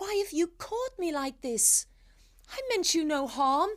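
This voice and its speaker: Using a put-on, squeaky character voice, a woman pitches it extremely high. Her pace is fairly slow. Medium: read story. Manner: wheedling, quick to snarl.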